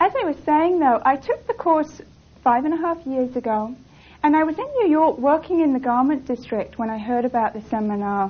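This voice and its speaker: A woman with an English accent has a high pitch. She speaks at a moderate pace with lively intonation. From England. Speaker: seminar instructor. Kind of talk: seminar teaching.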